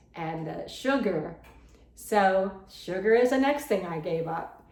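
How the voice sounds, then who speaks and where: Lively in intonation but very slow in pace, a woman speaks with audible room echo. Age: 70s. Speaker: lifestyle vlogger. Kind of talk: personal testimony vlog. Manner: conversational, repetitive.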